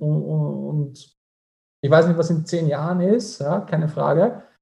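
His tone is dark and mellow, and he is somewhat breathy. The man's pitch is fairly high. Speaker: entrepreneur and finance advisor. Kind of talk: interview.

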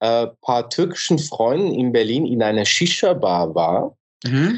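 This man talks at a fairly slow pace. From Switzerland. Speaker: musician. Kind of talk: casual interview chat. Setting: remote call from Istanbul.

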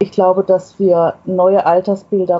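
At a very slow pace, a woman speaks with fairly low pitch. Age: 60s. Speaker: author of a self-portrait booklet. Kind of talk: interview. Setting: remote connection.

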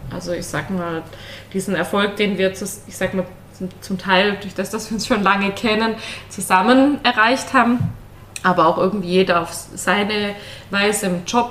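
A woman at a medium pitch and moderate pace, fairly even in intonation, with long, frequent pauses and noticeable background noise. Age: 30s. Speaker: controller in energy sector, podcast guest. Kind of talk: casual interview. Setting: studio, sitting next to husband.

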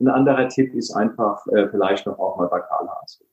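At a moderate pace, a man with an unremarkable speaking voice holds a medium pitch with ordinary pitch variation. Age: 60s. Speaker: psychotherapy practitioner. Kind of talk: casual interview.

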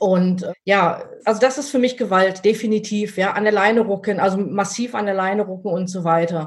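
Pitch varies in an ordinary way and the tone is somewhat breathy. The pace is moderate. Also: woman, medium pitch for a woman. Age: 50s. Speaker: dog trainer. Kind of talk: interview. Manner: hesitant, many filler sounds.

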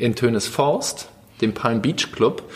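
A man speaks at a medium pitch. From Germany, Lower Rhine (Krefeld). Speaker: youth participation educator at a foundation. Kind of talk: casual interview. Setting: quiet room at a barcamp. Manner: hesitant, many fillers.

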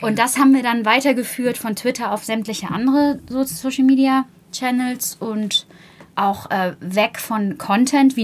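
An unremarkable speaking voice, moderate in pace and ordinary in pitch variation. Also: woman. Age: 30s. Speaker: PR manager, media school alumna. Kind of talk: interview.

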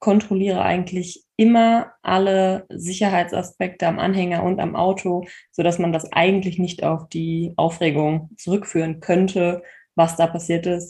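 A woman's medium-pitched voice, somewhat breathy with a dark, mellow tone and fairly even intonation, over a quiet background. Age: 30s. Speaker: horse owner and social media creator. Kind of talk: personal story in interview.

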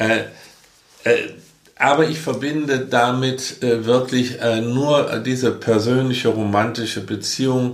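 In a room with audible echo, a man talks at a very slow pace with long, frequent pauses. His pitch is medium and his intonation fairly even. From Germany, rural area. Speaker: podcast co-host, father. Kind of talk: casual chat. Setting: same room, recorded together.

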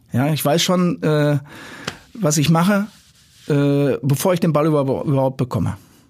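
Against noticeable background noise, a man speaks at a very slow pace with long, frequent pauses, very even loudness and ordinary pitch variation. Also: fairly high pitch for a man. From Dortmund, Ruhr area, Germany. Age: 60s. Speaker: youth football director. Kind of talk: casual interview. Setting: studio. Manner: halting, many fillers.

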